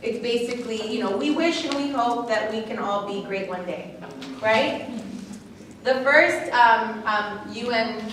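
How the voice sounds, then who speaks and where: A woman with a fairly high voice talks at a moderate pace with ordinary pitch variation, amid noticeable background noise and audible room echo. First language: not English. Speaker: lecturer. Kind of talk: lecture Q&A answer. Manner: halting, many fillers.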